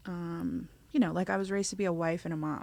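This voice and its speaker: On a very clean recording with a silent background, a woman with an American accent speaks at a medium pitch with fairly even intonation. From Staten Island, New York. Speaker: nail artist and mother. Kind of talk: casual chat. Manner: casual with many fillers.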